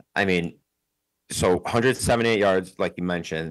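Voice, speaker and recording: The recording of a man talking is very clean, with a silent background. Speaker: sports podcast co-host. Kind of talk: casual chat.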